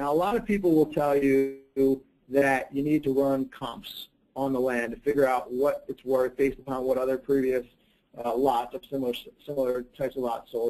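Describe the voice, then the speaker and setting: A fairly high-pitched man with a dark, mellow tone, fairly even intonation and a moderate pace. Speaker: real estate team leader. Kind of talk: webinar presentation. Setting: live webinar.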